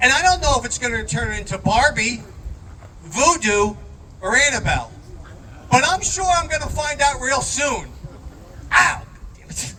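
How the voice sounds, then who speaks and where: Speaking in a raised, projected voice at an extremely high pitch, a man uses lively intonation and big swings in loudness with long, frequent pauses, amid audible room echo and noticeable background noise. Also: moderate pace. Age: 60s. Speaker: stand-up comedian. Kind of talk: stand-up. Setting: stage with audience at a brewery.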